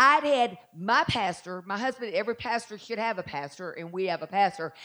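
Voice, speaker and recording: Against a quiet background, a woman speaks in a Southern US accent. Her medium-pitched voice has lively intonation. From Southern United States. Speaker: pastor preaching a sermon. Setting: church service, live audience. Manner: fast-paced, energetic preaching.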